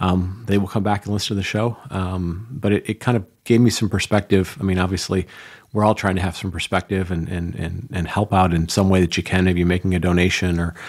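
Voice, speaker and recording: Fairly quick speech with fairly even intonation. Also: man, very deep, low pitch for a man. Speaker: podcast host. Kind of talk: solo podcast monologue. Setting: studio. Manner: halting, many fillers.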